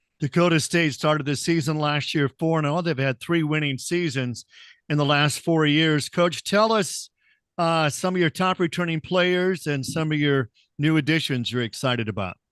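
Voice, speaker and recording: A plain, everyday voice at a moderate pace, dry and close with no echo, over a quiet background. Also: man, fairly high pitch for a man, ordinary pitch variation, very even loudness. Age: 60s. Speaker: conference media day host. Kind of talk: media day interview. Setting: video call.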